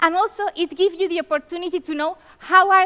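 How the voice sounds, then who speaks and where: Raised, projected speech from a woman with a Spanish accent at a fairly quick pace, the sound dry and close with no echo. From Spain. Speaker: conference keynote speaker. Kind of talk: conference presentation. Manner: fast.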